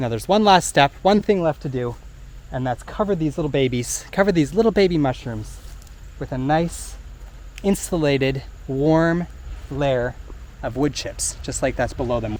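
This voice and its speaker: A man with a fairly high pitch speaks at a moderate pace with lively intonation. His speech has long, frequent pauses over noticeable background noise. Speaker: gardening YouTuber. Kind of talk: tutorial.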